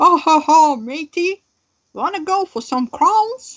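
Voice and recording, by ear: A woman uses a put-on character voice with extremely high pitch. She speaks at a fairly slow pace.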